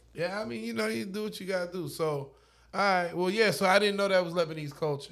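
A man talks at a very fast pace with lively intonation and a high pitch. The recording is very clean, with a silent background. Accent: American. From Oklahoma, Lawton. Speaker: DJ. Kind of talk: casual chat. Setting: home studio.

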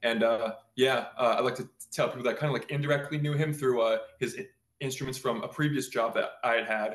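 A man talks at a fairly quick pace in a normal speaking voice. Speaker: guitar builder. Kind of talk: casual interview.

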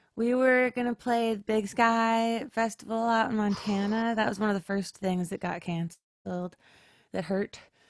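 A woman with a fairly high pitch talks at a moderate pace in an unremarkable speaking voice. The sound is dry and close with no echo, a very clean recording with a silent background. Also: fairly even intonation. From Upper Peninsula of Michigan, US. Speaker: singer-songwriter. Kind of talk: casual interview chat.

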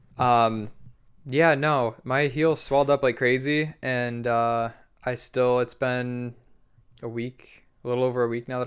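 Over a very clean recording with a silent background, a man with an American accent speaks at medium pitch in a monotone, flat intonation. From Michigan, Detroit area. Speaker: skateboarder. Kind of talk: casual chat. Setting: in-person recording.

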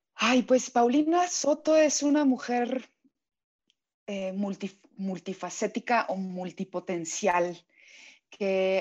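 Speaking very slowly over a quiet background, a woman uses a medium pitch and lively intonation. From Mexico. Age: 40s. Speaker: voice actress. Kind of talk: interview.

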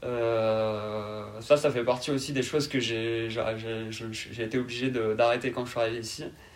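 A man with a medium-pitched voice talks at a fairly slow pace in a flat monotone, with hardly any pauses. Noticeable background noise is present. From southern France, Carcassonne (Aude, Occitanie). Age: 20s. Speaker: podcast guest. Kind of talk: interview. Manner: calm.

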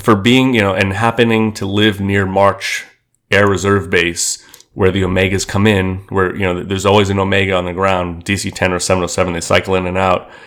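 With a New York accent, a man at a fairly low pitch talks at a fairly quick pace in a monotone, flat intonation. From Queens, New York City. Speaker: aviation community figure. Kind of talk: interview.

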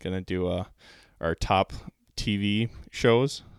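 The speaker has an Upper Midwest accent. The recording is very clean with a silent background and a dry, close sound with no echo. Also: man. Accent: Upper Midwest American. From Minnesota. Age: 20s. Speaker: podcast co-host. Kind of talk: casual chat.

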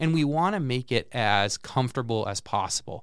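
A man talks at a moderate pace with an American accent, medium pitch and ordinary pitch variation. The recording is very clean, with a silent background. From central Massachusetts. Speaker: lifelong learning program director. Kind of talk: interview. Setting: studio.

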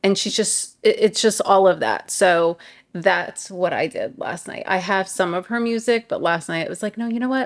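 With a New York accent, a woman speaks at a moderate pace and a medium pitch. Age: 40s. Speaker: podcast co-host. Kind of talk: casual chat.

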